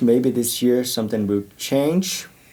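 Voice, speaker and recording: In a Portuguese accent, a man speaks at a fairly slow pace and medium pitch with a dark, mellow tone and ordinary pitch variation. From Brazil. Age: 30s. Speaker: church youth worker. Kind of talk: podcast interview.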